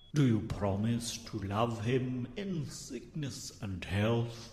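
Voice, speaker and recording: A man puts on a character voice at a medium pitch and a very slow pace, with slight echo and clear background noise. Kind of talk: wedding ceremony speech. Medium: comedy sketch. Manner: solemn, ceremonial.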